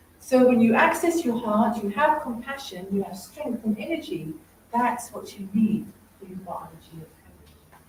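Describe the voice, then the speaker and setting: Animated and fairly high-pitched, a woman speaks at a moderate pace with very wide pitch swings and big jumps in loudness, over noticeable background noise. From England. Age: 60s. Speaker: stress expert and TV and radio presenter. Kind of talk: motivational talk.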